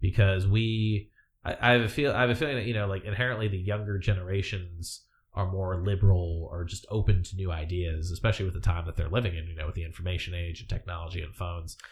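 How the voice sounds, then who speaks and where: A man talks at a very fast pace in a very deep, low voice that is somewhat breathy. His loudness swings widely while his pitch varies in an ordinary way. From US military family, Hawaii and other states. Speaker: former navy sailor, expat improv performer. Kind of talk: casual interview chat. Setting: live-streamed studio podcast.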